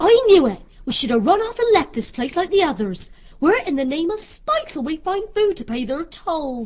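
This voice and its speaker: A put-on character voice, female-sounding and extremely high in pitch, moves through very wide pitch swings at a moderate pace. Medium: audio drama.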